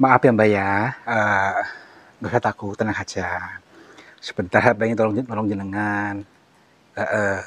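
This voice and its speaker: Speaking at a fairly slow pace with a fairly low pitch, a man delivers his words in a monotone, flat intonation broken by long, frequent pauses. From Central Java, Indonesia (Cilacap). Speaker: ruqyah practitioner / spiritual healer. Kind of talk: staged ruqyah session and interview. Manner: hesitant, many fillers; soothing, calming.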